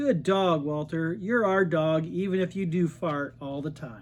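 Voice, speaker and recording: A man's gruff, put-on character voice, fairly high in pitch, with ordinary pitch variation at a moderate pace. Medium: read story. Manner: gruff, loud.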